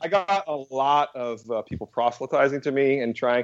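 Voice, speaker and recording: Against a quiet background, a man with a General American accent talks in an unremarkable speaking voice with ordinary pitch variation. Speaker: comics writer and publishing executive. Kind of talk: casual interview chat.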